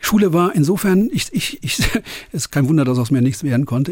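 A man's fairly high pitch with lively intonation at a very fast pace, amid noticeable background noise. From western Germany (Cologne area, NRW). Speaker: concert promoter. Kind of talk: interview.

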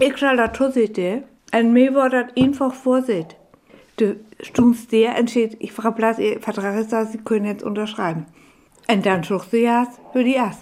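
A fairly high-pitched woman with an unremarkable speaking voice, ordinary pitch variation and a moderate pace. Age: 60s. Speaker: biologist and former teacher. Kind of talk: radio interview in Frisian.

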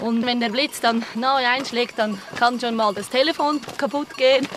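A high-pitched woman with a Swiss accent at a moderate pace, ordinary pitch variation, and noticeable background noise. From central Switzerland, canton Schwyz. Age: young. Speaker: mountain hut operator. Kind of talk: on-location interview.

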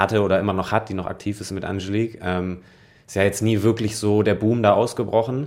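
At a fairly quick pace, a man with fairly low pitch speaks in a monotone, flat delivery. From northern Germany, Lübeck. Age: 30s. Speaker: professional tennis player. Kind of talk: interview. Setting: at home, dining room.

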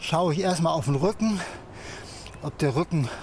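A man with a high pitch speaks at a moderate pace with ordinary pitch variation. Noticeable background noise runs beneath him. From Hamburg, northern Germany. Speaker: cook and sheep breeder. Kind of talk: casual documentary talk.

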